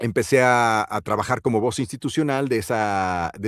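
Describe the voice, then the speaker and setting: A man with a Mexican accent talks at a moderate pace. The recording is very clean, with a silent background and a dry, close sound with no echo. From Mexico. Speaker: voice actor and announcer. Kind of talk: interview answer.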